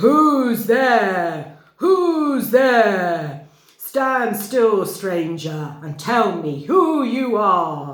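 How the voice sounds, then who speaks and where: In a put-on character voice, the speaker growls in a gruff, fairly high pitch with very wide pitch swings, moving at a very slow pace with hardly any pauses. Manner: menacing, demanding.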